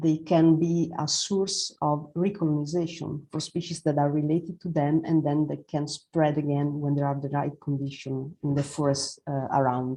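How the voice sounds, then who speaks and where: Speech comes at a moderate pace with a non-native accent. The tone is dark and mellow, the intonation monotone and flat. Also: woman, very deep, low pitch for a woman. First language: Italian. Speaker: forest ecologist presenter. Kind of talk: presentation. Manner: halting, many fillers.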